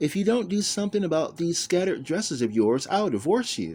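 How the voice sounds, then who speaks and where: In a put-on character voice, a man sounds whiny at a high pitch with very wide pitch swings and a fairly quick pace. The recording is very clean, with a silent background. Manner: whiny, mock-complaining, jokey.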